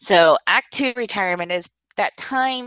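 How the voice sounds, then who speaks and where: A woman speaks at a very slow pace with a fairly high pitch and ordinary pitch variation. Her tone is bright and sharp, and the sound is dry and close with no echo. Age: 50s. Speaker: webinar presenter on finances. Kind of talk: webinar presentation. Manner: hesitant fillers.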